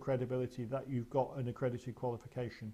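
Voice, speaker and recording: A man with an English accent, a dark, mellow tone and a somewhat breathy sound, at a fairly quick pace. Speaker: mediation trainer. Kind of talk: webinar presentation with Q and A. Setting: online webinar. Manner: fast; hesitant with fillers.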